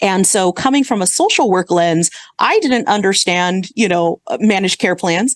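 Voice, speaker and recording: At a moderate pace, a woman talks in a normal speaking voice of medium pitch with ordinary pitch variation, the sound dry and close with no echo. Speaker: healthcare executive. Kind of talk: podcast interview.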